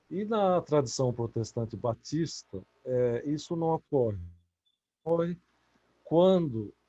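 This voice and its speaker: Speaking at a very slow pace with long, frequent pauses, a man with a dark, mellow tone and fairly high pitch makes very wide pitch swings, in a dry, close sound with no echo. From Brazil. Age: 60s. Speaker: author. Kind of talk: interview. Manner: halting.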